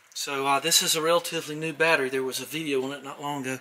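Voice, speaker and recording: Against light background noise, a man talks at a very fast pace with fairly even intonation. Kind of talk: casual vlog chat. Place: garage. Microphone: phone near.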